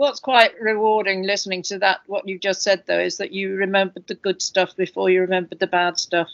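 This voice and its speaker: With a British accent, the speech moves at a fairly quick pace with hardly any pauses and fairly even intonation. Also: woman, medium pitch for a woman. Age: 70s. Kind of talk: panel discussion.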